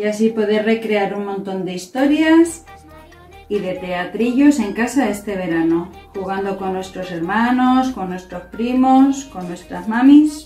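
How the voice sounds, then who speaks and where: Over faint background music, a woman speaks at a fairly slow pace with big swings in loudness and audible room echo. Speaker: presenter. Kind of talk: tutorial. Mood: cheerful, warm. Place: home room. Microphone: camera far.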